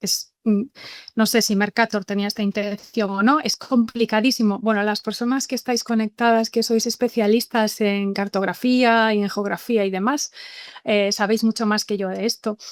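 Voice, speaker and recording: In a Galician accent, a woman speaks at a fairly high pitch with monotone, flat intonation, the sound dry and close with no echo. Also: moderate pace. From Galicia, Spain. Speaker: university professor, webinar speaker. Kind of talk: lecture. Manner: hesitant with repetitions.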